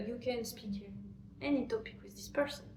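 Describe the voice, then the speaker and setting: The speaker has a French accent and sounds somewhat breathy. Audible room echo is present. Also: woman. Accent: French accent in English, self-conscious. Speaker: French teacher, language channel host. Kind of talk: tutorial. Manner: halting, many fillers.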